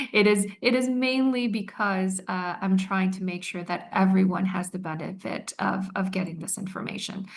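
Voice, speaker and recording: The woman's voice is at a medium pitch. Her intonation is fairly even. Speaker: attorney. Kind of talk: legal seminar presentation. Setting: online webinar with interpreters. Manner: slow, deliberate.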